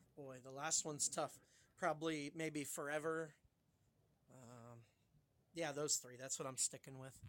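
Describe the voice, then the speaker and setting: Speaking slowly-ish with long, frequent pauses, a man with an American accent and a fairly high pitch keeps fairly even intonation while his loudness swings widely. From Ohio near Pittsburgh. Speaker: record store owner. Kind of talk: casual chat.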